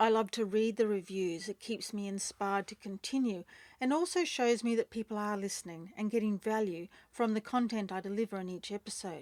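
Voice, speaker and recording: In a very clean recording with a dry, close sound, no echo and a silent background, a woman with an Australian accent speaks at a medium pitch and a fairly quick pace with ordinary pitch variation. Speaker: podcast host, breakup recovery mentor. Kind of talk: podcast outro.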